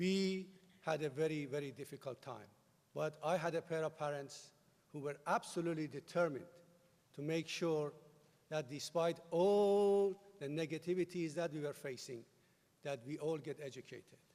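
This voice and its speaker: With a Persian accent, a man speaks at a fairly high pitch with ordinary pitch variation and long, frequent pauses. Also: moderate pace. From Iran. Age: 50s. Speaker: commencement speaker. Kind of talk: commencement speech. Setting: stage with audience.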